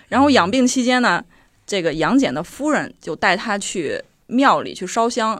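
A woman talks at a moderate pace with lively intonation and a fairly high pitch. The recording is very clean, with a silent background. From Henan. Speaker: podcast co-host. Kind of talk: casual storytelling chat.

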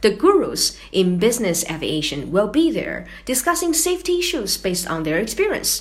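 A woman's fairly high voice in a Chinese accent, its pitch swinging very widely. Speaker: podcast co-host. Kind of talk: scripted podcast chat.

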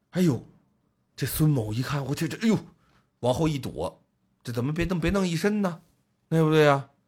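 A man's fairly high voice moves with lively intonation in a very clean recording with a silent background. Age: middle-aged. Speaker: podcast host. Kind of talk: casual chat. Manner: animated.

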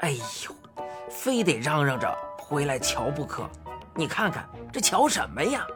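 A put-on character voice with a fairly bright tone and big pitch swings, at a fairly slow pace over faint background music. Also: woman, low pitch for a woman.

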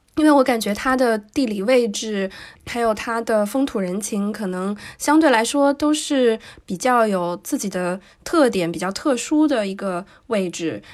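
With a plain, everyday voice, a woman talks fairly slowly at a fairly high pitch. Her intonation is lively, and the recording is very clean with a silent background. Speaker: podcast co-host. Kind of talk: casual podcast conversation.

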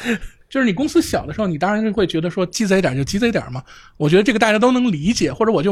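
A man speaks very fast, his pitch swinging very widely. The recording is very clean, with a silent background. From Tanggu, Tianjin. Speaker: programmer and video blogger, guest co-host. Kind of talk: casual chat.

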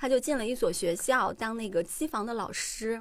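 A woman speaks in a normal speaking voice, fairly high in pitch. The recording is very clean, with a silent background. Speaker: podcast host. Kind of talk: casual chat.

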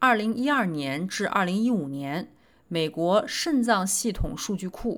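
In a very clean recording with a silent background, a woman at a medium pitch talks at a fairly slow pace with very wide pitch swings. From China, Nanjing. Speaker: physician and medical podcast host. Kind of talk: scripted narration of research summaries.

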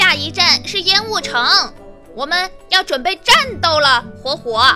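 Someone speaks in a put-on character voice at a moderate pace. Music is clearly heard behind it. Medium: audio drama. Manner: petulant, exasperated, playful.

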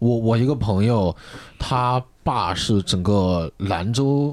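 Heard on a very clean recording with a silent background, a man with a plain, everyday voice speaks in a fairly low pitch with ordinary variation. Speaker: stand-up comedian. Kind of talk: casual chat. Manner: excitable.

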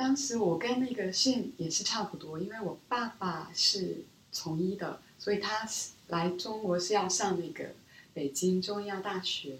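A woman with a Korean accent speaks at a fairly slow pace in a medium pitch, her intonation lively, over noticeable background noise. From South Korea, Seoul; childhood years in Beijing. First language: Korean (speaking Chinese). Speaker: business school student, former strategy analyst. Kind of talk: interview conversation. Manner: soft-spoken.

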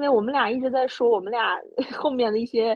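The speaker sounds animated and keeps a moderate pace. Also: woman. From Inner Mongolia. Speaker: podcast host. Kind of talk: casual chat.

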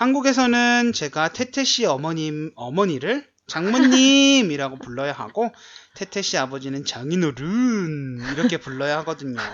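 A man talks at a fairly slow pace and a fairly high pitch. His pitch swings very widely. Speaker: Korean language teacher, podcast co-host. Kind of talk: casual chat.

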